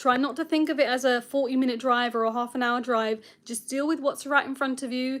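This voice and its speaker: This woman's high voice stays monotone and flat. She talks fairly quickly with hardly any pauses. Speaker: driving instructor. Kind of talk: live stream Q&A. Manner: fast.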